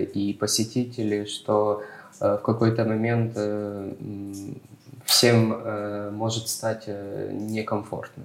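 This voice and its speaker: This man's voice sits fairly low. His delivery is monotone and flat. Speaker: architect. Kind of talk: expert panel discussion. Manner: halting, many filler sounds.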